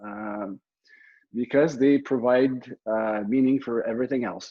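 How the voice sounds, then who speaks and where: At a fairly slow pace, a man with a medium-pitched voice speaks in a Quebec accent. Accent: Québécois French-accented English. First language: French. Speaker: military officer and real estate investor. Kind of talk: presentation. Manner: halting, many fillers and repeats.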